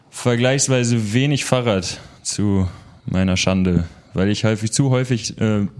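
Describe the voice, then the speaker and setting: A man's ordinary speaking voice, fairly low in pitch with ordinary variation, at a fairly slow pace. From Münster, Westphalia, Germany. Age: 20s. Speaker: social entrepreneur. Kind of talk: interview.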